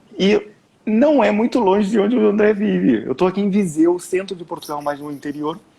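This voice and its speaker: A man speaks at a moderate pace. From Brazil. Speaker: time management mentor. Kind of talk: live stream conversation.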